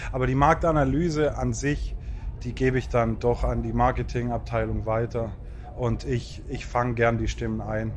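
A man talks at a moderate pace as noticeable background noise continues behind his voice. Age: 30s. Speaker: festival communications manager. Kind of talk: casual chat. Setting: outdoors.

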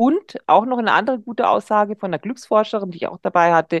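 Against a quiet background, a woman speaks at a very fast pace. Her intonation is lively, and the sound is dry and close with no echo. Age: 50s. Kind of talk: casual chat.

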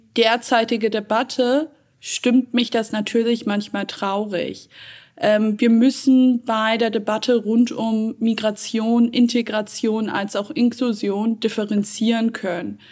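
Speech comes at a very slow pace in a monotone, flat intonation on a very clean recording with a silent background. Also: woman. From Germany, Hamburg. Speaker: data and AI expert, author. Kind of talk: interview. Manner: many filler sounds.

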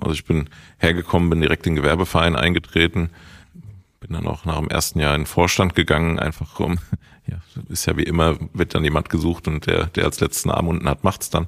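Talking at a fairly quick pace, a man uses a very deep, low pitch and a monotone, flat intonation. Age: 30s. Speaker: supermarket owner. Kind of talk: interview.

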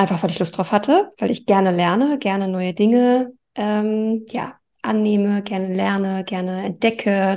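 A woman's dark, mellow voice at medium pitch, fairly even in intonation, over a quiet background. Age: 40s. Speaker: life coach. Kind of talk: interview.

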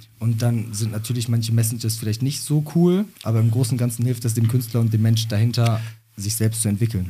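A man's somewhat breathy voice at medium pitch with fairly even intonation. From Germany, Bottrop. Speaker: rapper. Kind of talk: interview.

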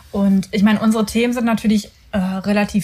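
Noticeable background noise sits behind the recording. A woman speaks at medium pitch with fairly even intonation. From Ruhr area, Germany (Mülheim an der Ruhr). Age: 30s. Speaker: podcast co-host, personal branding mentor. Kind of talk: casual chat. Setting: home bedroom recording.

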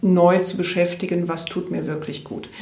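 A woman speaks with noticeable background noise. Audible room echo surrounds her voice. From Rhineland, Germany. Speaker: health coach and coach trainer. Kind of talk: interview.

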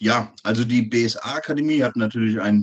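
Here is a man with a plain, everyday voice and a medium pitch. He keeps a moderate pace with ordinary pitch variation. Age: 30s. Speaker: soldier and personal trainer. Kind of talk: interview.

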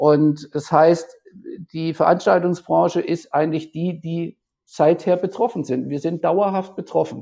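A man with a high voice and a dark, mellow tone. He speaks at a fairly slow pace with fairly even intonation. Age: 50s. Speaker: event production manager. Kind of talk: interview. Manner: halting.

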